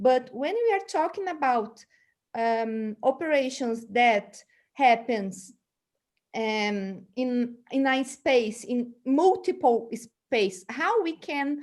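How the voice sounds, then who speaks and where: With a Portuguese accent, a woman speaks at a high pitch and a very slow pace, her intonation lively. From Brazil. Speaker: seminar moderator. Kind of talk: panel discussion. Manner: halting.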